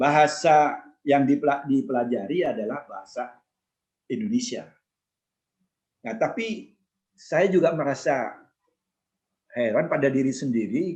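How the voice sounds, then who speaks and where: Speaking with a Madurese accent, a man uses a fairly high pitch and lively intonation at a fairly slow pace, leaving long, frequent pauses. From East Java, Madurese-speaking area (Kraksaan, Probolinggo). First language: Madurese (speaking Indonesian). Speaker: former ambassador. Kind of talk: casual interview, life story. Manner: halting, with restarts.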